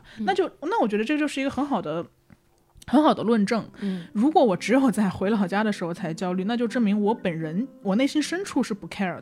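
Her fairly high pitch and lively intonation mark an ordinary speaking voice, as the woman talks at a fairly quick pace. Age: 20s. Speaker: podcast host. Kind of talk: casual chat.

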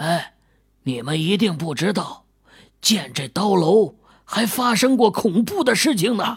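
Quiet and raspy, this put-on character voice sits at a middle pitch and moves at a fairly slow pace. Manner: mysterious, hushed.

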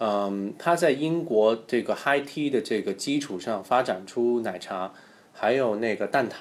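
This man has an unremarkable speaking voice, pitched in the medium range, with ordinary pitch variation. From Hong Kong. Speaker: guest. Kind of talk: casual chat.

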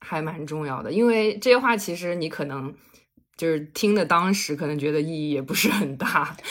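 With lively intonation, a woman speaks in a plain, everyday voice at a moderate pace and a fairly low pitch. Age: 20s. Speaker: podcast guest. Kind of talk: casual chat.

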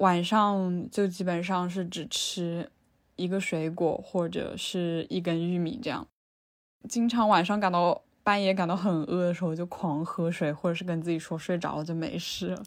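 Recorded very cleanly against a silent background, a woman with a fairly low-pitched voice speaks at a moderate pace. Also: fairly even intonation. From Changsha, Hunan. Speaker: interviewee. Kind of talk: personal testimony. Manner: hesitant.

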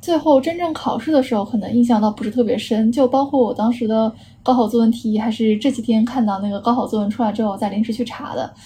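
The woman's pitch moves in an ordinary way. She talks at a very fast pace. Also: fairly high pitch for a woman, hardly any pauses. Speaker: architecture student. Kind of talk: casual chat.

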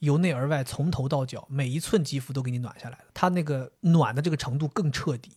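Hardly pausing, a man talks at a fairly quick pace in a somewhat breathy voice. His pitch is fairly high and varies in an ordinary way. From Liaoning, Northeast China. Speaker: podcast co-host. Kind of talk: casual chat. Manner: animated.

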